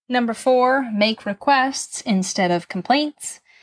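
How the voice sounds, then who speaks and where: The recording is very clean, with a silent background. A somewhat breathy woman speaks with ordinary pitch variation. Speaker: podcast co-host.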